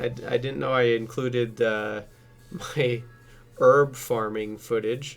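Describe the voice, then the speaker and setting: With music playing in the background, a man at medium pitch talks in a monotone, flat delivery. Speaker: gaming YouTuber. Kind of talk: time-lapse voiceover commentary. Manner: casual, hesitant with frequent fillers.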